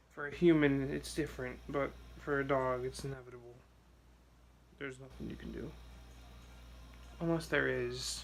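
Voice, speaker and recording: A soft-spoken man at a moderate pace, with big swings in loudness, long, frequent pauses and audible room echo. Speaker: vlogger. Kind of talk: personal vlog. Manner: soft-spoken, quiet; hesitant, many fillers.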